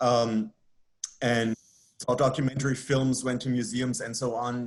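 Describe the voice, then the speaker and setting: In a German accent, a man speaks at a moderate pace and medium pitch with monotone, flat intonation. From Germany. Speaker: professor. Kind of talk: interview.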